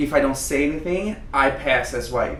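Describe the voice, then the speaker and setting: A man talks at a moderate pace in a space with audible room echo and noticeable background noise. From Brazil. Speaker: drag queen. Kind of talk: casual chat.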